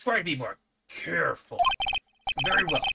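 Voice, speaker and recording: A man puts on a character voice at an extremely high pitch. He projects loudly at a moderate pace. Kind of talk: comic overacting. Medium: game stream.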